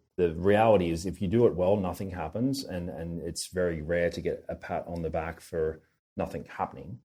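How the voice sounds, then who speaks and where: A man with an Australian accent talks at a fairly quick pace, his very deep, low voice dark and mellow with ordinary pitch variation. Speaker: tech company founder. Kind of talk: podcast interview.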